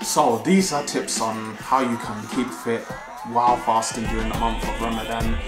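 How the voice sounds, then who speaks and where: With clear music in the background, a man speaks at a moderate pace. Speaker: fitness vlogger. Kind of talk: casual vlog chat. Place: home room. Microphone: phone near.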